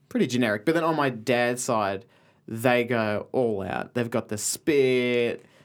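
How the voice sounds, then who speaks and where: Speech comes at a fairly slow pace with ordinary pitch variation. The recording is very clean, with a silent background. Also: man, medium pitch for a man. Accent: Australian. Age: 20s. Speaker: comedy writer. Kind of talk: casual chat.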